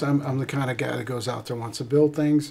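Fairly even intonation from a male speaker. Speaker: guest. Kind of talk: interview answer. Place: studio.

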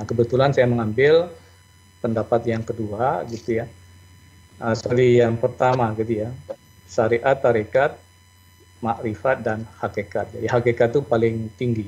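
Somewhat breathy and medium in pitch, a man speaks with fairly even intonation and long, frequent pauses. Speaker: accounting professor. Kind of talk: lecture. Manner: fast.

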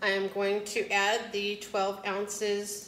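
A woman at a medium pitch and slow pace, flat and monotone, with a fairly bright tone and audible room echo

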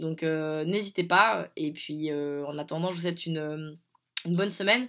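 Against a quiet background, a woman speaks at a moderate pace with fairly low pitch and fairly even intonation. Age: 30s. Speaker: educational program coordinator. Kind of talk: video message to schoolchildren. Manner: halting, many hesitations. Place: home room. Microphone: phone near.

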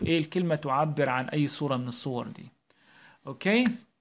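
A man speaks in an Egyptian accent on a very clean recording with a silent background. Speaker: primary school English teacher. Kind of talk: tutorial. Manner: animated.

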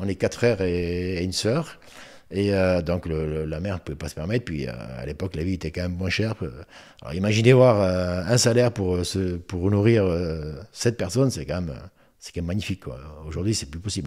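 Against a quiet background, a man speaks at a fairly quick pace in a very deep, low pitch, with a dark, mellow tone and ordinary pitch variation. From Moselle, France. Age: 60s. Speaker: retired footballer; guest. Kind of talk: interview. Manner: halting, many repetitions. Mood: relaxed, reminiscing. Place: home room. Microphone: studio mic.

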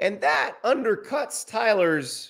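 A man speaks against a quiet background. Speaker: sports commentator. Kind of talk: commentary. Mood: critical, measured. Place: studio.

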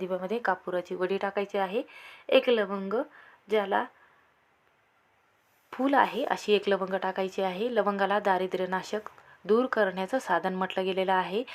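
A woman speaks at a moderate pace with fairly even intonation and a medium pitch.

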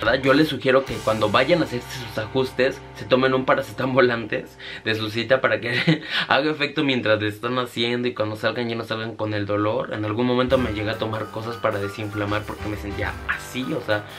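Over clear music in the background, a man talks at a fairly quick pace with fairly even intonation. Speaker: vlogger. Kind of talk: casual vlog chat. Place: home room.

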